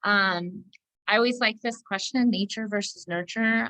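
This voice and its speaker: This woman speaks at a fairly slow pace with fairly even intonation, in an ordinary speaking voice. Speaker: licensed counselor presenting a training. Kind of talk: online training presentation.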